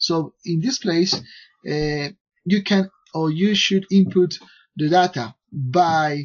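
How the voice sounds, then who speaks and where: A man with a non-native accent speaks very slowly in a high pitch, with ordinary pitch variation, against a quiet background. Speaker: software developer. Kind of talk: software tutorial. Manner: halting, many fillers. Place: home room. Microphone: headset.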